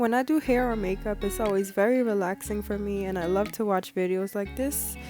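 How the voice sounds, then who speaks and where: The talking proceeds at a moderate speed while music sounds behind it. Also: woman. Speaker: makeup artist. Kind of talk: makeup tutorial voiceover.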